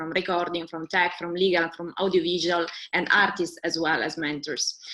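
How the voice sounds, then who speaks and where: A woman with a strong Italian accent speaks fairly quickly at a fairly low pitch over noticeable background noise. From Italy. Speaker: webinar co-host, music industry organizer. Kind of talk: webinar presentation. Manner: halting.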